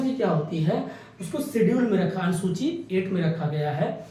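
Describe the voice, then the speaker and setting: A man speaks in a high pitch for a man. Audible room echo and noticeable background noise surround his voice. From India, Awadh region (Ayodhya belt, Uttar Pradesh). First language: Awadhi (speaking Hindi). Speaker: exam coaching teacher. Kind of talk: lecture. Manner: conversational, explanatory.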